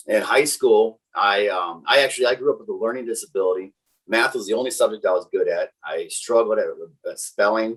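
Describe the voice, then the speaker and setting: A man with a slight Wisconsin accent at a fairly quick pace. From Wisconsin, greater Milwaukee area. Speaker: technical sales engineer. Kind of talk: casual interview chat. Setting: podcast interview. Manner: fast; many fillers and restarts.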